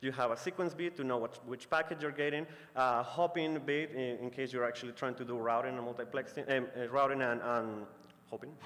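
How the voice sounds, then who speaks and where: Moving at a fairly quick pace, a man speaks at medium pitch with ordinary pitch variation. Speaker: conference presenter. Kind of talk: technical talk. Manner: fast; hesitant, many fillers.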